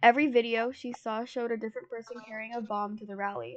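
A woman's animated, fairly high voice at a very fast pace. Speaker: podcast co-host. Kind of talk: casual chat with story reading. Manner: animated, joking.

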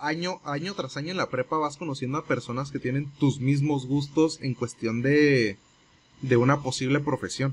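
A man with a fairly high pitch talks at a moderate pace in a somewhat breathy voice, his intonation fairly even. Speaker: podcast co-host. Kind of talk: casual chat.

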